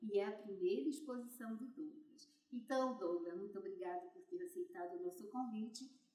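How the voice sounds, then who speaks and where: A woman with a high pitch and a dark, mellow tone speaks at a moderate pace, with very wide pitch swings and big swings in loudness. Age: 80s+. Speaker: interviewer, elderly artist. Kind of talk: interview introduction. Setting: art gallery.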